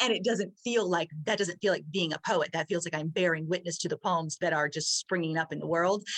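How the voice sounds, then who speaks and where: This is an unremarkable speaking voice moving at a fairly quick pace with hardly any pauses. Its pitch varies an ordinary amount. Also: woman, fairly low pitch for a woman. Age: 40s. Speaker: author. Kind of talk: casual chat.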